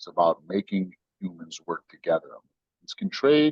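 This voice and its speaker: The sound is dry and close with no echo as a man talks with an American accent. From United States. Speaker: tech company CEO. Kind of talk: podcast interview. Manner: animated, storytelling with voices.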